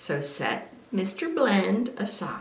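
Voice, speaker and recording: An American accent heard amid audible room echo and noticeable background noise. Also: woman. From US South. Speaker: quilting teacher. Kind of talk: tutorial. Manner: animated.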